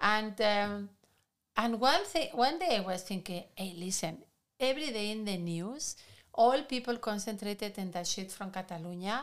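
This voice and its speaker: Speaking with a Spanish accent, a woman keeps a moderate pace. Her medium-pitched voice has lively intonation. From Spain. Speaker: podcast co-host. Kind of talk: casual discussion.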